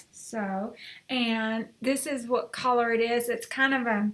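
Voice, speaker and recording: High pitch and fairly even intonation from a woman. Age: 60s. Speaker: lifestyle vlogger. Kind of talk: unboxing and try-on vlog. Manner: casual, rambling with fillers. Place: home room. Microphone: webcam.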